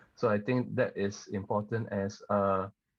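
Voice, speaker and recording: A man speaks in a fairly low pitch with monotone, flat intonation. The background is quiet. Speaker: singer-songwriter. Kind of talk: podcast interview.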